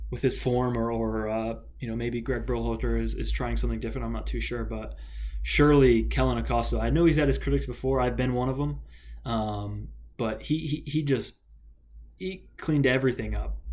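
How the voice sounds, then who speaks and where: A man with an American accent at a fairly quick pace, with audible room echo. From United States. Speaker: football vlogger. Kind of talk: solo video commentary. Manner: halting, many fillers.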